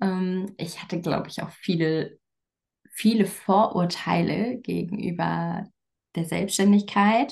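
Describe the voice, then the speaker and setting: A woman speaks very slowly with vocal fry. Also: medium pitch for a woman, ordinary pitch variation. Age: 30s. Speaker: coach and communication expert. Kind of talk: casual interview.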